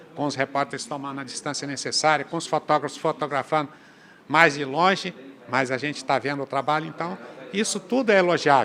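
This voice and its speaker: This is a normal speaking voice, a man talking at a fairly quick pace with fairly high pitch and ordinary pitch variation. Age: 60s. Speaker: state legislator. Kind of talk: interview.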